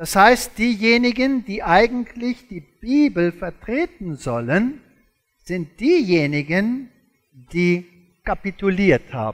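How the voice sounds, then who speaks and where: A man with a non-native accent speaks very slowly in a high voice, his pitch swinging very widely and his loudness rising and falling sharply against a quiet background. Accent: foreign, non-native German. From South Africa. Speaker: creationist lecturer, former zoology professor. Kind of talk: lecture. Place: stage.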